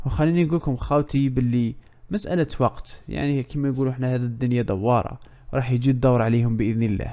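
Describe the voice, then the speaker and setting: A dark, mellow tone in an Algerian accent, with ordinary pitch variation at a fairly quick pace. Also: man, medium pitch for a man. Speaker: news commentary youtuber. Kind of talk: casual commentary.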